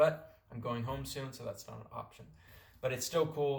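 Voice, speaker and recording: A man talking at a fairly quick pace, with audible room echo. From California, US. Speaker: vlogger on a working holiday. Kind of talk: casual vlog talk. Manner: casual, with fillers and repeats.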